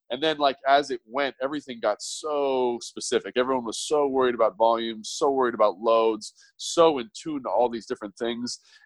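A man talks fairly quickly at a medium pitch with fairly even intonation. It is an ordinary speaking voice, dry and close with no echo, over a quiet background. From US West Coast, Los Angeles. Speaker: former pro football player, strength coach. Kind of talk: casual interview chat.

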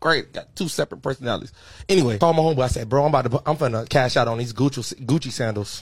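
A man's very fast, animated, somewhat breathy delivery at medium pitch, with ordinary pitch variation, in a very clean recording over a silent background. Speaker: podcast host, army veteran. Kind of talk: casual chat.

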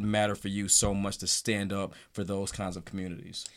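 A man with an ordinary speaking voice, fairly low-pitched, at a moderate pace, on a very clean recording with a silent background. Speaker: podcast host. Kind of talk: casual political talk show.

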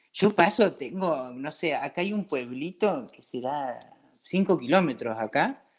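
A man with an Argentine accent speaks at a fairly slow pace, his pitch swinging very widely. The recording is very clean, with a silent background. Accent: Argentine, noticeable to French locals. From Argentina, Patagonia (Comodoro Rivadavia). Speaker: brewery owner, emigrant. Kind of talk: casual interview.

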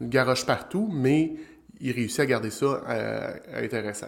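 A man with a Quebec accent talks at a moderate pace and a medium pitch. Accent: Québécois French. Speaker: business development strategist, show host. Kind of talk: live-streamed solo talk on sales. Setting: live stream on social platforms.

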